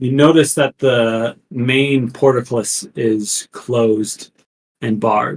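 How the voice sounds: Against a quiet background, the speaker reads. It is a natural reading voice.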